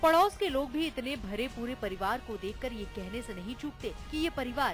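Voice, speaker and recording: A woman with a high voice speaks at a moderate pace, her pitch swinging very widely, with music playing in the background. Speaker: news reporter. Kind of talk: TV news report narration.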